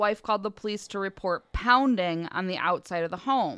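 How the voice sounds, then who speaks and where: Over a quiet background, a woman speaks in an ordinary speaking voice with lively intonation. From northern Michigan. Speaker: podcast host. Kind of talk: casual chat; storytelling. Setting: studio.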